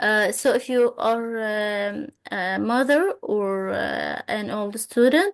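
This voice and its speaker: A woman speaks with an Arabic accent against a quiet background. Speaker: Arabic teacher. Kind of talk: tutorial.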